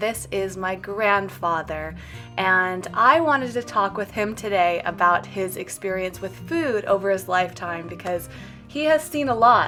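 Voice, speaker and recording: A woman speaks at a fairly slow pace with lively intonation and a medium pitch. Music plays in the background. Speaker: vegan lifestyle video host. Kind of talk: interview questions to family member.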